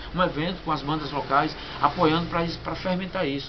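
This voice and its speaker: Recorded with audible room echo and noticeable background noise, a man with a Sergipe accent talks at a fairly quick pace with a fairly high pitch. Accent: Northeastern Brazilian (Sergipe). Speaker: punk band vocalist. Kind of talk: interview. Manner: halting, many repetitions.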